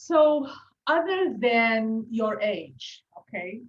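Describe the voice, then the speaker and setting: A woman speaks with a fairly high pitch and a somewhat breathy quality. Her pitch swings very widely. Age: 40s. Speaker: podcast host, health coach. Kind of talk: interview conversation.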